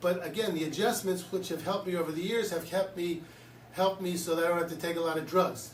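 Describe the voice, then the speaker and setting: Noticeable background noise and audible room echo accompany this recording. A high-pitched man with an American accent speaks in a monotone, flat intonation. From Philadelphia, US. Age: 60s. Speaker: chiropractor. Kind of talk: promotional talk to camera. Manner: casual, conversational.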